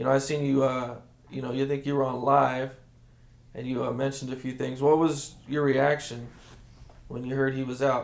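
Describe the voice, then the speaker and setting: A man with an American accent in a monotone, flat intonation at a moderate pace, with long, frequent pauses. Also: medium pitch for a man. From Rialto, California. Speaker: interviewer. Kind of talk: casual interview questions.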